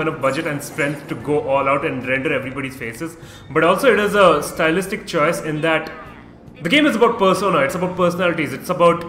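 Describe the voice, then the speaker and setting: Fairly high in pitch, a man speaks at a fairly quick pace with ordinary pitch variation, amid audible room echo and music in the background. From India. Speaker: gaming streamer. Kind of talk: live gameplay commentary. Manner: fast; animated.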